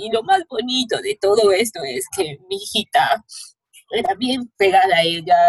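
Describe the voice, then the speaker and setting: A woman with a Peruvian accent speaks fairly slowly at a fairly high pitch, her pitch swinging very widely, with a dry, close sound and no echo. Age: 20s. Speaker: bereaved daughter of a femicide victim. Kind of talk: testimony. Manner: halting.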